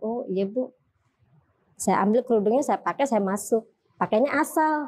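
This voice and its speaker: A woman's fairly high pitch at a moderate pace, a plain, everyday voice. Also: ordinary pitch variation. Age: 30s. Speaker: convert to Islam. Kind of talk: testimony.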